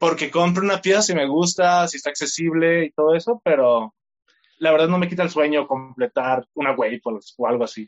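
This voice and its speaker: Lively intonation marks an ordinary speaking voice that goes at a fairly quick pace. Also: man, fairly high pitch for a man. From Mexico, Tlaquepaque, Jalisco. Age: 20s. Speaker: content creator. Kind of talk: interview.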